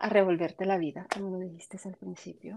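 This woman talks at a moderate pace. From Colombia. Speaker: podcast guest sharing postpartum depression experience. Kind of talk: testimony. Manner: halting.

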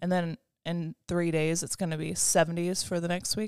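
A plain, everyday voice at a moderate pace, with ordinary pitch variation and a dry, close sound with no echo. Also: woman. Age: 20s. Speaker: podcast co-host. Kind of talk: casual chat.

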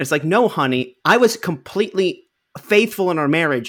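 With a slight New York accent, a man speaks at a fairly quick pace using lively intonation. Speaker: podcast co-host. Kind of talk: casual comedic movie discussion podcast.

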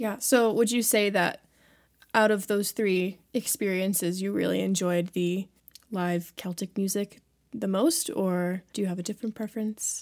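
A woman with an American accent speaks in an unremarkable speaking voice with fairly even intonation. The recording is very clean with a silent background. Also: medium pitch for a woman, moderate pace. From Maryland, DC area. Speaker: music student, singer-songwriter and podcast host. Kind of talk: casual interview chat.

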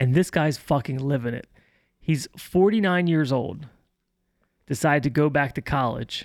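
In a very clean recording with a silent background, a man with an American accent speaks at a moderate pace and fairly high pitch with ordinary pitch variation and long, frequent pauses. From US, Baltimore. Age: 40s. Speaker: podcast co-host. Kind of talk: casual chat.

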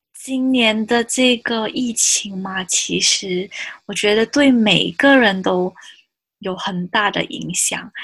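A woman with a Malaysian accent talks at a very slow pace in a fairly high pitch. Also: ordinary pitch variation. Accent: Malaysian Chinese Mandarin. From Malaysia, Johor. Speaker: podcast host. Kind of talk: casual chat.

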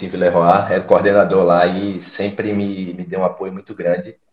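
A man's fairly low voice at a fairly quick pace. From Alagoas, Brazil (Maceió). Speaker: former footballer and fitness coach. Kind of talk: casual interview.

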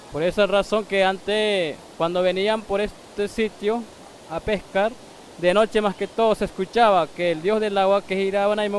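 High-pitched male speech at a fairly slow pace with fairly even intonation, over noticeable background noise. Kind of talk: on-location interview. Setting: outdoors by a waterfall.

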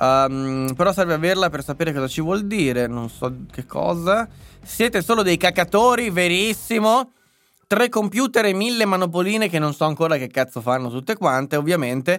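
In an animated tone, a man speaks at a moderate pace in a high voice with very wide pitch swings. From northern Italy, Lombardy. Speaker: political commentator and live streamer. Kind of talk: live stream commentary and chat reading. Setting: live stream from home computer setup.

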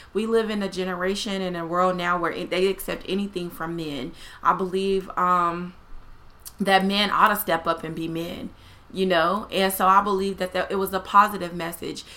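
With a bright, sharp tone, a woman of medium pitch talks at a moderate pace in a monotone, flat intonation. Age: 30s. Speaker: plus-size fashion influencer. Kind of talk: casual chat.

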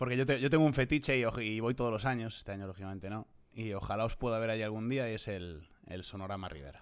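Over a very clean recording with a silent background, a man talks at a very fast pace. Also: medium pitch for a man, ordinary pitch variation. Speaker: podcast host. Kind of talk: interview.

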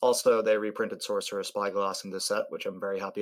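Irish-accented, a man speaks. His pace is very fast. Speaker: podcast co-host. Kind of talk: casual chat.

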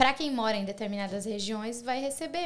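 A woman speaks at a fairly quick pace. She has a plain, everyday voice with a fairly high pitch. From Brazil, Santa Catarina. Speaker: YouTuber. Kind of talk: casual chat.

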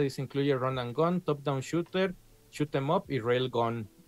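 Speaking at a fairly slow pace, a man with a Mexican accent uses a fairly high pitch. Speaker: video game podcast host. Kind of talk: casual chat.

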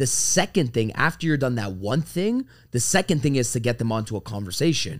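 Recorded very cleanly against a silent background, a man with a medium pitch has an unremarkable speaking voice. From Canada, Toronto. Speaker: sales trainer. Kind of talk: casual chat.

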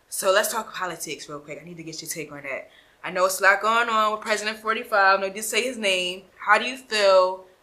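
In an American accent, a woman speaks at a medium pitch. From Philadelphia. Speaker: interview show host. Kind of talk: casual interview.

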